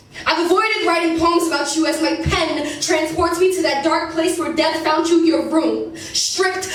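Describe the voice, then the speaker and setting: A woman speaks at a moderate pace in an extremely high pitch. Her intonation is flat and monotone, with noticeable background noise. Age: young. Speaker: spoken word poet. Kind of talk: spoken word poetry performance.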